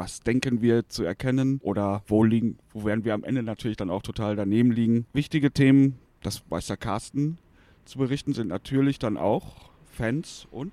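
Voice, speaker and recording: Dark, mellow tone from a man at medium pitch, moderate pace and ordinary pitch variation, in a dry, close sound with no echo. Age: 40s. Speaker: football fan and podcast co-host. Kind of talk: casual chat. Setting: studio, face to face.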